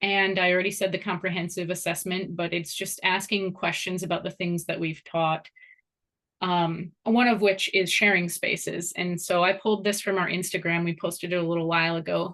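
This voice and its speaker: Over a quiet background, a woman of medium pitch speaks at a moderate pace in a flat monotone with a bright, sharp tone. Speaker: course instructor and program founder. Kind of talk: informational presentation.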